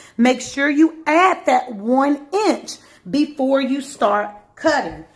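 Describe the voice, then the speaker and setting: Over noticeable background noise, a woman speaks at a very slow pace. Her voice is high-pitched, with lively intonation. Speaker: sewing and fashion design teacher. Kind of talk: tutorial.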